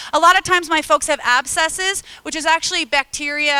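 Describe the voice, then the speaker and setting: In a dry, close sound with no echo, a woman speaks at a fairly quick pace in a raised, projected voice, her high pitch carrying a bright, sharp and animated tone. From US Midwest (Illinois). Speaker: harm reduction advocate, presenter. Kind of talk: conference talk. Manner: fast.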